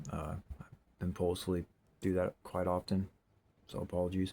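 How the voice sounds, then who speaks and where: This clip features a man talking. It is a very clean recording with a silent background. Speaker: bottle digging video creator. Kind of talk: casual show-and-tell narration. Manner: fast; rambling, filler-heavy.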